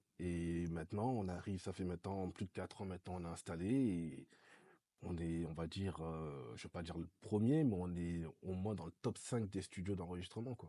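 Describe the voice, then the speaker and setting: At a moderate pace, a man with a very deep, low pitch talks with ordinary pitch variation. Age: 20s. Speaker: recording studio owner, entrepreneur. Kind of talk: casual interview chat.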